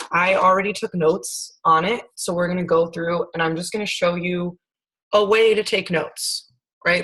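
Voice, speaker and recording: Her pitch is medium and varies in an ordinary way as the woman speaks at a moderate pace. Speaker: science teacher. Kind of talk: lecture. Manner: loud.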